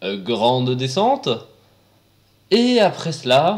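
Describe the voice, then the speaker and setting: Very slowly, a man speaks at a fairly high pitch. His voice makes very wide pitch swings. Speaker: roller coaster video presenter. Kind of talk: casual commentary narration. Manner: casual, sarcastic.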